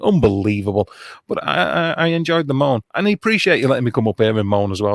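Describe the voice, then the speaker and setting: With a British accent, a man speaks very fast with very wide pitch swings, in a very clean, dry, close recording with a silent background and no echo. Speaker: online streamer and musician. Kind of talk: casual chat.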